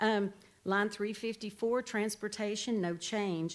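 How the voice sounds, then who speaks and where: A woman with a medium-pitched voice speaks on a very clean recording with a silent background. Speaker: sheriff's office staff presenting budget. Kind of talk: budget presentation at committee meeting. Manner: fast when excited.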